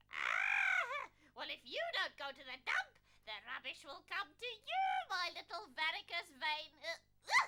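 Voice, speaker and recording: A female-sounding cartoonish character voice pitched extremely high talks at a fairly slow pace. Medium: puppet show. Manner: sly, teasing, bossy.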